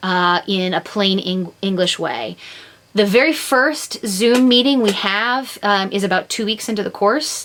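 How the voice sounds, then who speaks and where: Her voice is a normal speaking voice, medium in pitch for a woman. She talks at a fairly slow pace with ordinary pitch variation. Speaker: law instructor. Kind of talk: recorded lecture.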